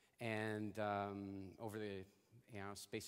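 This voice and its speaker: In a monotone, flat intonation, a man delivers his lines. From Canada. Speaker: motivational speaker. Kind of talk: keynote talk. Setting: stage with audience.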